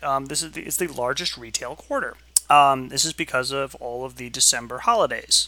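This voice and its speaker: Using an unremarkable speaking voice, a man talks at a fairly quick pace with a fairly high pitch, ordinary pitch variation and big swings in loudness. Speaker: streamer. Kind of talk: casual chat.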